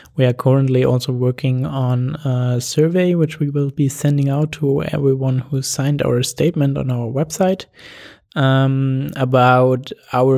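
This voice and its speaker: A voice with a German accent speaks at a fairly slow pace, its dark, mellow tone carried on fairly even intonation. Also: man. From Germany. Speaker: camera crew member, initiative founder. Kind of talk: interview. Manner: hesitant, with fillers.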